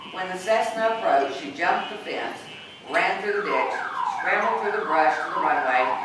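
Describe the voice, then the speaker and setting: A woman talks at a moderate pace, with noticeable background noise around her. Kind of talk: story reading. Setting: live reading in a restaurant, car alarm outside. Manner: soft-spoken.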